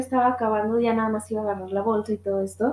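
A woman with a Guadalajara accent speaks over noticeable background noise. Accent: Mexican Spanish (Guadalajara). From Mexico, Guadalajara. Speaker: podcast host. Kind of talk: casual monologue. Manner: laughs often.

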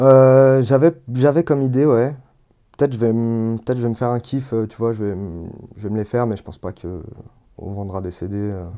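A man speaks at a moderate pace and medium pitch with ordinary pitch variation. His loudness swings widely. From Lyon area, France (Villeurbanne). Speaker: rapper and sound engineer. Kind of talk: interview. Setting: home studio. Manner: casual, hesitant with fillers.

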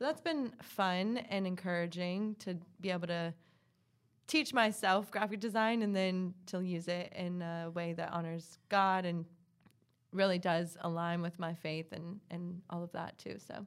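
With an unremarkable speaking voice, a woman speaks at a fairly slow pace in a fairly low pitch, keeping her intonation fairly even. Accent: American. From US South, South Carolina. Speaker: podcast co-host. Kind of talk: casual chat, podcast intro.

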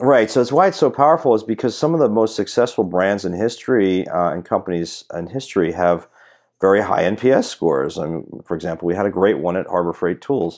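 A man has a plain, everyday voice, fairly low in pitch with lively intonation. He talks at a fairly quick pace against a quiet background. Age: 40s. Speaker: e-commerce strategist and author. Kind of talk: casual interview.

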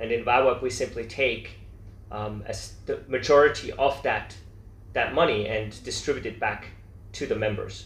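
A man talks at a moderate pace. There is audible room echo around him. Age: 40s. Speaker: entrepreneur. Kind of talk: interview.

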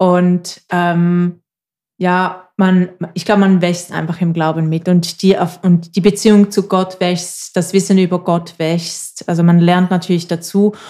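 A woman's dark, mellow, fairly low voice in a Swiss German accent, very slow and monotone, on a very clean recording with a silent background. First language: Swiss German (speaking German). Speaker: podcast co-host. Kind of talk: casual chat.

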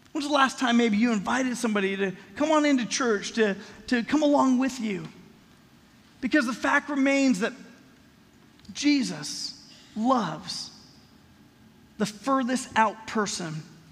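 An American-accented man with an extremely high pitch speaks at a fairly slow pace, leaving long, frequent pauses, with audible room echo. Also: ordinary pitch variation. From Los Angeles, US West Coast. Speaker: pastor. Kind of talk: sermon. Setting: church.

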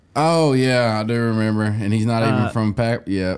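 A man with a Southern US accent speaks at a moderate pace and medium pitch, keeping a fairly even intonation and very even loudness. Noticeable background noise runs underneath. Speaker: podcast co-host. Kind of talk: casual, profane.

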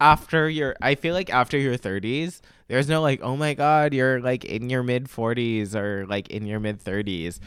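A man with a normal speaking voice talks at a moderate pace and medium pitch, with lively intonation and hardly any pauses. The recording is very clean with a silent background. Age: 20s. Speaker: podcast co-host. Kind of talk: casual chat. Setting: drinking wine while recording. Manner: casual filler-heavy speech.

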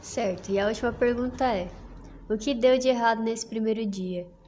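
A woman's fairly high-pitched voice at a moderate pace, with audible room echo. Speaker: student interviewer. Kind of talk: interview.

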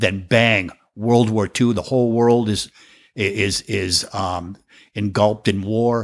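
In a very clean recording with a silent background, a man with an American accent speaks at a very slow pace, fairly low in pitch and with fairly even intonation. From Massachusetts, US. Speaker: professional drummer. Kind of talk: casual interview chat. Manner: humorous, joking.

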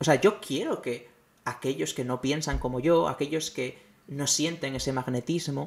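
Fairly high in pitch with ordinary pitch variation, the man delivers his words at a moderate pace in an ordinary speaking voice. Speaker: podcast host. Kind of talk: monologue commentary.

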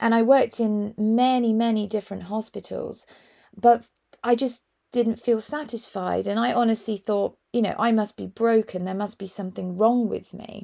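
A fairly high-pitched woman's voice with a dark, mellow tone at a moderate pace, on a very clean recording with a silent background. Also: big swings in loudness. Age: 40s. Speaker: wellbeing coach and podcast host. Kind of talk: solo podcast monologue. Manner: casual, warm and enthusiastic.

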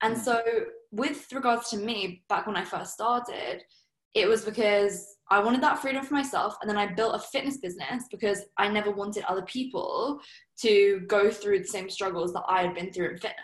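Fairly high pitch from a woman with a southern English accent, moderate pace and ordinary pitch variation. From southern England, Surrey. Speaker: entrepreneur. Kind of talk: interview.

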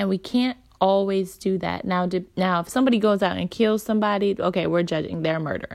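In a very clean recording with a silent background, a woman with a normal speaking voice talks at a fairly quick pace and medium pitch, with ordinary pitch variation and hardly any pauses. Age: 20s. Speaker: podcast host, moms' group founder. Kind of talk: casual talk monologue.

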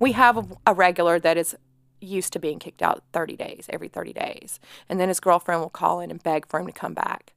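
A woman talks very fast in a Southern US accent, with big swings in loudness. The sound is dry and close with no echo. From Atlanta, Georgia. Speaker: bartender. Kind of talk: casual chat.

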